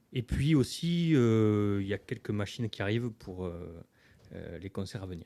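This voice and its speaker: His pitch sits fairly low, with a dark, mellow tone. The man's intonation is lively. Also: quiet background. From southern France, Hérault. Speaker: singer-songwriter. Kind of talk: radio interview. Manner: hesitant, many fillers.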